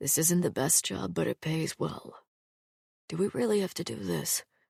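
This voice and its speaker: A raspy, put-on character voice with a weary tone. It sits at a low-to-middle pitch and moves at a moderate pace. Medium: read story. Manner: low undertone, weary.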